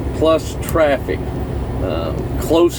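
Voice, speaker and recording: A man talks with a Southern US accent. Background noise is noticeable. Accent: Southern US drawl. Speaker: truck driver and rock climber. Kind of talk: casual talk to camera.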